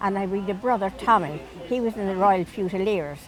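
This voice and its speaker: A woman with a Dublin accent speaks at a moderate pace and medium pitch, with noticeable background noise behind her. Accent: Dublin Irish. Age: 80s+. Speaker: elderly local resident. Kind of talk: casual reminiscing interview. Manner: halting.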